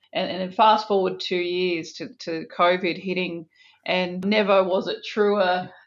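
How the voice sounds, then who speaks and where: A woman's medium-pitched voice in an Australian accent, fairly slow and flat in a monotone. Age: 40s. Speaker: business executive. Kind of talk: interview.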